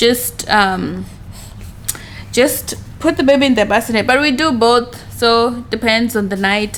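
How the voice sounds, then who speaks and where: A woman with a Kenyan accent speaks at a fairly high pitch with ordinary pitch variation. Noticeable background noise is present. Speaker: vlogger and mother. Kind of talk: casual vlog talk. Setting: at home.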